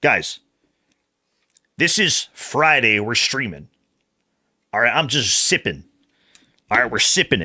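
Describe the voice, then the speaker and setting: Bright and sharp with vocal fry, a man's voice swings very widely in pitch at a fairly slow pace, broken by long, frequent pauses, in a very clean recording with a silent background. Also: medium pitch for a man. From Canada. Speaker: video game streamer. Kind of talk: casual live stream chat. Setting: livestream.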